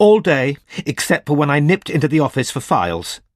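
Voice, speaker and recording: In a put-on character voice, a man speaks hoarsely at a fairly high pitch and a fairly quick pace, with lively intonation and a dry, close sound with no echo. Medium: read story. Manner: defensive, contemptuous, nervous.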